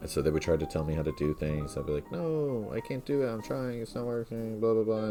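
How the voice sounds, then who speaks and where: A man's mumbling voice, fairly low-pitched, with very wide pitch swings and music in the background. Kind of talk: casual talk to camera.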